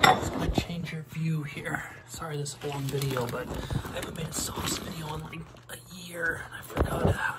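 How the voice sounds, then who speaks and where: Someone whispers at a moderate pace over music playing in the background. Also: man. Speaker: comedy video maker. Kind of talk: comedic cooking video talk to camera. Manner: whispered. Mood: deadpan, joking. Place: kitchen. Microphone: phone near.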